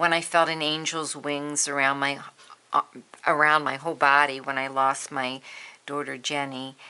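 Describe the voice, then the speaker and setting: Bright and sharp in tone yet very deep and low in pitch, this woman speaks at a moderate pace with monotone, flat intonation. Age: 60s. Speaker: art journaling vlogger. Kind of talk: casual tutorial. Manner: casual, with many fillers.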